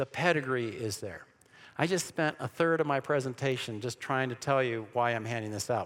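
A man's medium-pitched voice, animated in tone, with lively intonation and a fairly quick pace on a very clean recording with a silent background. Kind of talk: church seminar lecture. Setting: room with live audience. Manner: fast.

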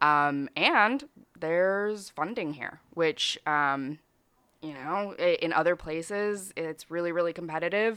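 A woman with an American accent speaks at a fairly low pitch with ordinary pitch variation, an ordinary speaking voice. The background is quiet. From Brazilian family, raised partly in Chicago area. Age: 20s. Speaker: comedian and entrepreneur. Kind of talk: casual chat.

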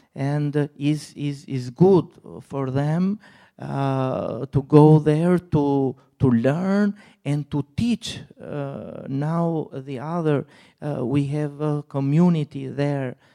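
On a very clean recording with a silent background, a man with a non-native accent speaks at a very slow pace, his fairly high pitch showing ordinary pitch variation and a dark, mellow tone. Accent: foreign-accented English. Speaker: missionary. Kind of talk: testimony. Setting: church. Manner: halting.

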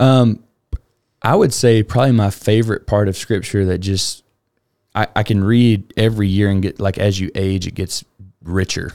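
A man with a Southern US accent, a fairly low pitch and a moderate pace. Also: fairly even intonation. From Alabama. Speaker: nonprofit foundation director. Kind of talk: casual interview.

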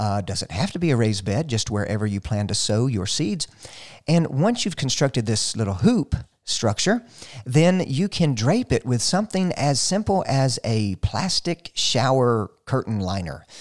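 With a Southern US accent, a man talks at a moderate pace with very wide pitch swings, recorded dry and close with no echo. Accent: Southern US (Georgia). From US South. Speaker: radio gardening show host. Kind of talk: radio call-in style Q&A, casual talk.

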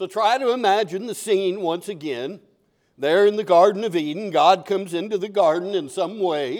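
Lively intonation in plain reading aloud, against a quiet background

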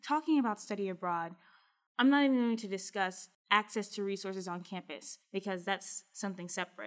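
A woman with a plain, everyday voice speaks at medium pitch and a moderate pace, with ordinary pitch variation, on a very clean recording with a silent background. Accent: American. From US South, small-town Kentucky. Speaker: study abroad professional, former Fulbright researcher. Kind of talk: interview conversation.

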